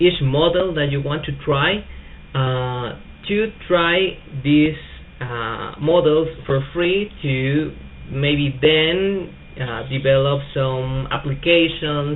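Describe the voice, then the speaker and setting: A man with a Spanish accent talks at a very slow pace, his pitch fairly high with ordinary variation. Audible room echo surrounds the voice. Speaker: tech youtuber. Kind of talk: tutorial. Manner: hesitant, many fillers.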